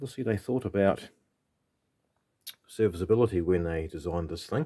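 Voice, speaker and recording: Here a man speaks with a New Zealand accent at a fairly low pitch. He moves at a fairly quick pace with lively intonation. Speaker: vintage electronics hobbyist. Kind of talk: tutorial. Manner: halting; casual.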